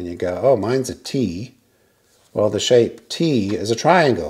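His voice has a dark, mellow tone and lively intonation. This man speaks against a quiet background. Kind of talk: tutorial. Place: garage.

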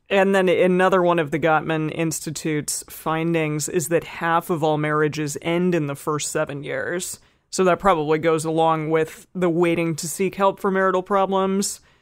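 A woman speaks in a fairly low voice with hardly any pauses. Her intonation stays monotone and flat. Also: moderate pace. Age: 30s. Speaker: podcast co-host. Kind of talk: casual chat.

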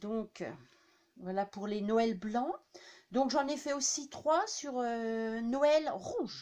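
A woman's slightly mellow voice at medium pitch with ordinary pitch variation

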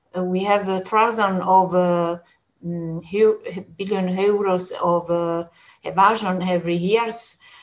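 A woman is speaking. Her intonation is monotone and flat. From Italy. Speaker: trade union official; speaker. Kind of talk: panel discussion. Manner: halting. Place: home room. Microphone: webcam.

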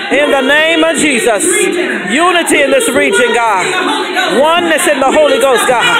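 With music in the background, a woman speaks at a fairly slow pace. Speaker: evangelist leading intercessory prayer. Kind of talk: intercessory prayer. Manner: urgent, rhythmic repetition of 'in the name of Jesus'; ecstatic bursts of exclamation and praise. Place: church.

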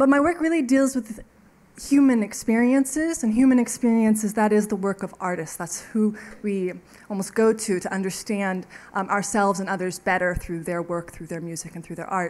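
A woman talks at a moderate pace, with big swings in loudness. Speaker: invited lecturer. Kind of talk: lecture. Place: hall.

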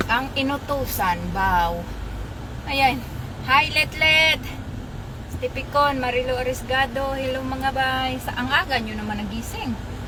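A woman with a Philippine accent speaks in an animated tone at a fairly slow pace. There is noticeable background noise and audible room echo. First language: Cebuano (speaking Tagalog). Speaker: vlogger. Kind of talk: live stream commentary.

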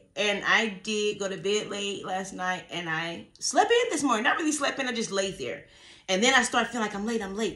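A raspy, put-on character voice from a woman, medium in pitch, at a moderate pace. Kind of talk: casual, conversational. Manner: talking fast.

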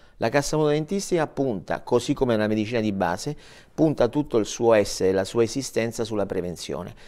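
A man speaks very fast with lively intonation. The background is quiet. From southern Italy, Matera (Basilicata); Basilicata, Italy. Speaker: director of a dental mutual fund; guest. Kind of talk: TV interview. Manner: halting, repeats words. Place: studio. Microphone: lapel.

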